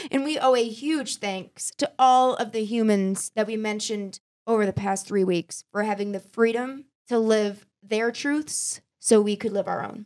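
At a fairly slow pace, a woman with a fairly high pitch and ordinary pitch variation speaks in an ordinary speaking voice, the sound dry and close with no echo. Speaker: podcast host. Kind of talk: casual chat.

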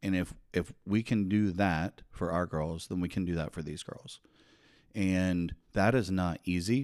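A man talks at a very slow pace in a very deep, low voice with fairly even intonation. The recording is very clean, with a silent background. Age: 40s. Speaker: anti-trafficking advocate. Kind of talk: casual chat. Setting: studio.

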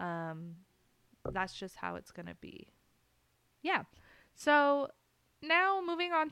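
A woman talks at a very slow pace in a bright, sharp tone. Her speech has long, frequent pauses. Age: 20s. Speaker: podcast host. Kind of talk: casual solo chat. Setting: alone in a room recording. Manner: rambling, halting with fillers.

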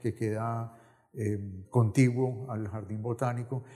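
A man speaks at a medium pitch in a dark, mellow tone. His delivery is somewhat breathy, with monotone, flat intonation. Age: 70s. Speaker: novelist. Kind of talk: interview. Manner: halting.

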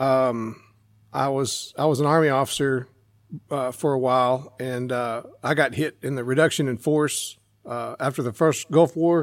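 A normal speaking voice in an American accent, moderate in pace, in a very clean recording with a silent background. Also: man, medium pitch for a man. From Central Texas. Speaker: shooting instructor and school teacher. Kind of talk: casual interview.

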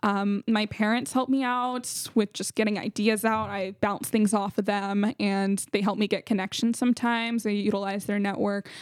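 In a Californian accent, a woman speaks at a fairly high pitch and a moderate pace with hardly any pauses. Her intonation is monotone and flat, in a dry, close sound with no echo. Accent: Californian American English. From California, San Jose. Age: young. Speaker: founder of a youth business program, college student. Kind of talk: casual interview.

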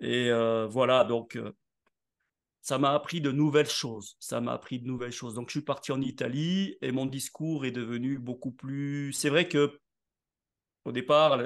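In a normal speaking voice, a man talks fairly slowly at a fairly high pitch. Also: quiet background. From southern France (Nice). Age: 60s. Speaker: network marketing entrepreneur and speaker. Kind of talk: interview.

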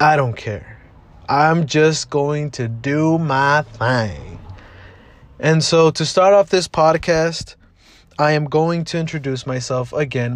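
This man has an American accent and a fairly high pitch. He speaks fairly slowly, with ordinary pitch variation. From Southeast Los Angeles. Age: 20s. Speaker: podcast host. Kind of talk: casual monologue. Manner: casual, lots of fillers.

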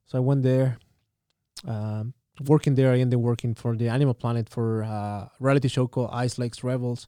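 The voice has a Chilean accent and a dark, mellow tone, moving at a fairly quick pace. Its intonation is monotone and flat, and the sound is dry and close with no echo. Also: man, medium pitch for a man. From Santiago, Chile. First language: Spanish. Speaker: tourism storyteller and artist. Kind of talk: casual interview.

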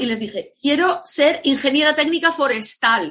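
A woman speaks in a raised, projected voice. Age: 50s. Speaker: entrepreneur, former language teacher, coach. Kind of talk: interview.

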